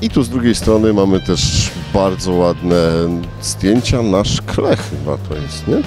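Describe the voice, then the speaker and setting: A man's fairly low voice at a fairly slow pace, with a dry sound with no echo and clear music in the background. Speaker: fair walk-through host. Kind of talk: casual walkthrough commentary. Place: hall. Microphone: handheld.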